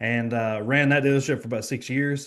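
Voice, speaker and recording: With a quiet background, a man with a Kentucky accent speaks very fast at a medium pitch, his intonation fairly even. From Kentucky, small town. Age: 20s. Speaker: financial professional. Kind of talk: podcast interview.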